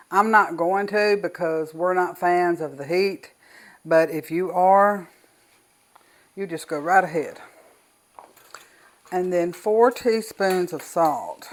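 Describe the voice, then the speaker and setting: A woman's very slow speech with a Southern US accent, ordinary pitch variation and long, frequent pauses. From US South. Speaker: cooking channel host. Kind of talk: tutorial. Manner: casual.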